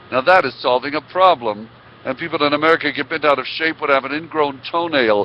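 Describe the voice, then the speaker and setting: A man speaks at a fairly quick pace with noticeable background noise behind him. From Israel, then Oklahoma from age 9. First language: Hebrew. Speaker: motivational speaker. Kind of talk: interview storytelling.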